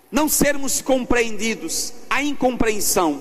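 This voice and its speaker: Against noticeable background noise and audible room echo, a man speaks at a very slow pace in an extremely high pitch with ordinary pitch variation. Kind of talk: sermon. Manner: loud.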